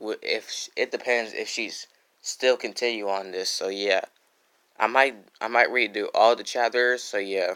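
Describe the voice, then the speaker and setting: Soft-spoken, a man with a bright, sharp tone talks at medium pitch and moderate pace with fairly even intonation. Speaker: YouTuber reading fan stories. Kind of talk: casual livestream intro then reading aloud. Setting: home, at night, live stream. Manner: soft-spoken, keeping quiet at night; halting, many fillers and restarts.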